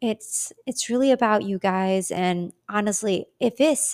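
Recorded dry and close with no echo, a woman with an American accent talks fairly slowly at a medium pitch. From Michigan, US; Iraqi Chaldean parents. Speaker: podcast host. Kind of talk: personal testimony.

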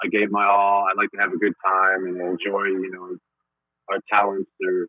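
Recorded with a dry, close sound and no echo, a man speaks at a moderate pace. His low voice stays monotone and flat.

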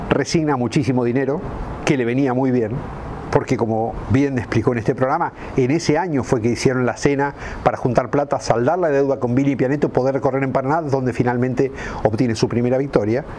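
Over noticeable background noise, a man speaks at a fairly quick pace with a medium pitch and fairly even intonation. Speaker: motorsport radio host. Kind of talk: scripted narration. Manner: dramatic.

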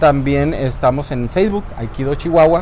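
A fairly slow pace, plus audible room echo and noticeable background noise. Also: man. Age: 60s. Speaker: martial arts instructor. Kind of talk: interview. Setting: martial arts dojo.

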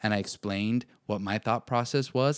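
Recorded very cleanly with a silent background and dry, close sound with no echo, a man uses a normal speaking voice at medium pitch with ordinary pitch variation. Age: 20s. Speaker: faith and self-growth podcast host. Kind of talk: solo podcast monologue.

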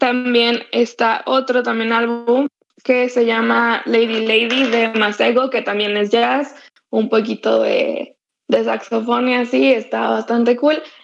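A woman speaks at a very slow pace and a fairly high pitch with monotone, flat intonation. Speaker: podcast co-host, university student. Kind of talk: casual chat. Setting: online voice call. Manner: loud, blunt-sounding.

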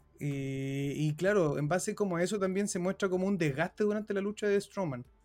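With music playing in the background, a man with a Chilean accent talks at a moderate pace and with ordinary pitch variation. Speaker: wrestling podcast host. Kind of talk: casual chat.

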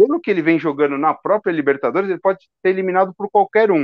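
The speaker is a man with a high pitch. His voice makes very wide pitch swings. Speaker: football podcast co-host. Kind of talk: casual chat.

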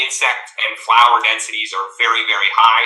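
A man rattles along at a very fast pace with noticeable background noise around him. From Virginia mountains, US. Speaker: ornithologist, bird atlas coordinator. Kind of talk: interview conversation.

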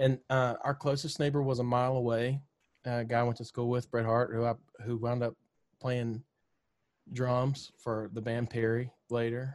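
With a Southern US accent, a man talks in monotone, flat intonation, leaving long, frequent pauses. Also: medium pitch for a man, moderate pace. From Mississippi, US South. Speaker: country singer-songwriter. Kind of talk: casual interview chat.

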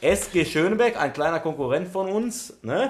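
A man is talking. The pitch of his voice shifts very widely. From Essen, Ruhr area, Germany. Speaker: youth football coach. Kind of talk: casual chat.

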